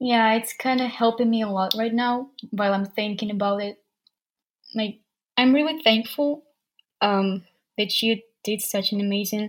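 A woman speaks at a fairly high pitch. Her speech has long, frequent pauses. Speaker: language learner. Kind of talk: casual interview chat. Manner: halting, hesitant with fillers.

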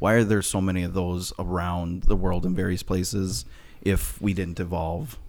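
Here a man talks at a moderate pace with a Minnesotan accent. His voice is very deep and low, with ordinary pitch variation. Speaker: podcast producer. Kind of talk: casual discussion, asking questions.

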